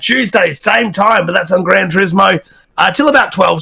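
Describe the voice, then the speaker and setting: An energetic man talks with an Australian accent. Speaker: game streamer. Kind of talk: podcast interview.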